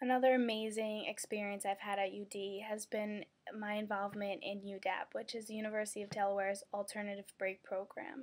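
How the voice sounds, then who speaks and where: Her intonation monotone and flat, a woman speaks at a fairly quick pace and a medium pitch. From Brooklyn, New York. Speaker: university student. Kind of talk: candidate video statement.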